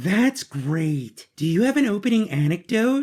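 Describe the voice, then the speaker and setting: At a moderate pace and middle pitch, the speaker does a put-on character voice with very wide pitch swings. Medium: audio drama. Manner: cheerful, peppy.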